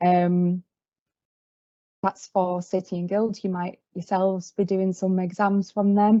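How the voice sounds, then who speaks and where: Speaking with a Yorkshire accent, a woman talks at a fairly slow pace in a medium pitch, her intonation monotone and flat. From Yorkshire, northern England. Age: 20s. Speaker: field service engineer trainee. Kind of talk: career talk presentation. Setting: video call meeting. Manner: hesitant, many fillers.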